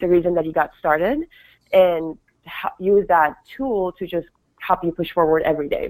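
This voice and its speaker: A woman speaks at a moderate pace with a Persian accent, her pitch fairly low. The sound is dry and close, with no echo. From Iran. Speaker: fashion designer and author. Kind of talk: interview answers, conversational.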